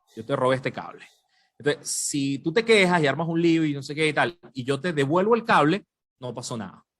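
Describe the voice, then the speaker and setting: A man talks in an animated tone at a fairly high pitch. His intonation is lively. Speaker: journalist. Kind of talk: podcast interview.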